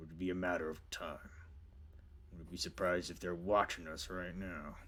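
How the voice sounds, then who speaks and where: Putting on a character voice, a man booms in a raspy, very deep, low pitch at a moderate pace over clear background noise. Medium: actual play.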